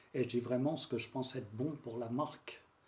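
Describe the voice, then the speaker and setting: The voice is somewhat breathy, fairly quick, and fairly even in intonation. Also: man. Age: 60s. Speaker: brand strategy consultant. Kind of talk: casual interview. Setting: sofa interview. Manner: calm, phlegmatic.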